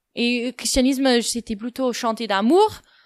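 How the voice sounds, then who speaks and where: Speaking at a fairly slow pace, a woman with a fairly high pitch and ordinary pitch variation comes through in a dry, close sound with no echo. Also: very clean recording, silent background. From United States. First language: English (speaking French). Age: 20s. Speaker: podcast guest. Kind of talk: personal testimony. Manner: hesitant, many fillers.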